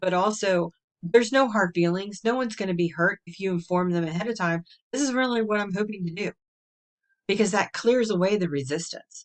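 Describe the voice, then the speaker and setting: A woman's ordinary speaking voice, medium in pitch and fairly quick, with ordinary pitch variation and a dry, close sound with no echo. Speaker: human design coach. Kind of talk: solo video talk. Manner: casual.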